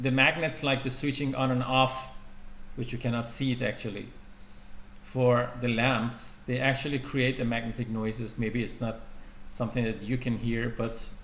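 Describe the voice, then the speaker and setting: At a medium pitch and a moderate pace, a man speaks in a flat monotone with long, frequent pauses and audible room echo. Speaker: university lecturer. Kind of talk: lecture. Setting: lecture room with projector. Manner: loud.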